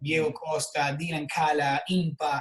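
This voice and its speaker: A man with an Argentine accent speaks at a fairly high pitch. His intonation is monotone and flat, and his pace is fairly slow. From Argentina. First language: Spanish. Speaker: personal trainer and health coach. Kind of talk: interview. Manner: halting, repeats words.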